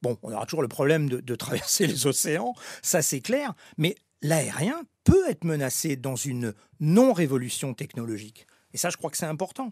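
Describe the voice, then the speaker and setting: Lively intonation marks this man's fairly high pitch at a moderate pace. The sound is dry and close with no echo, a very clean recording with a silent background. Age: 60s. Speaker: former airline executive. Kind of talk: interview. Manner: halting.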